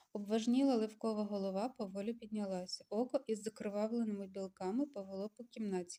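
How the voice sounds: The delivery is a natural reading voice. Intonation stays fairly even.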